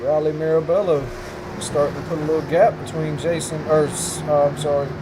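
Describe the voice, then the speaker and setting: There is noticeable background noise and audible room echo. A man speaks at a moderate pace in a fairly high pitch, with ordinary pitch variation. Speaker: sim racing commentator. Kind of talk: live commentary. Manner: loud.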